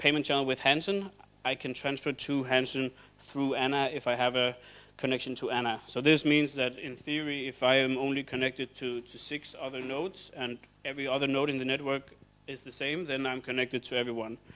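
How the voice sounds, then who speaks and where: A man at medium pitch with a bright, sharp tone, a fairly quick pace and monotone, flat intonation. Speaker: software developer presenting at meetup. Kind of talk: conference presentation. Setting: stage with audience. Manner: halting, many fillers.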